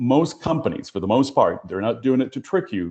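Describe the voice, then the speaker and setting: A man with a Spanish accent against a quiet background. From Puerto Rico. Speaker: HR professional, panelist. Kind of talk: panel discussion.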